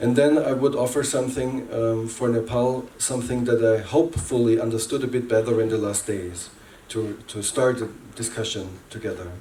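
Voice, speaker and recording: A man with a non-native accent speaks at a medium pitch and a moderate pace, his intonation fairly even. Noticeable background noise and audible room echo fill the recording. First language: not English. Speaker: workshop facilitator. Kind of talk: workshop presentation. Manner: halting.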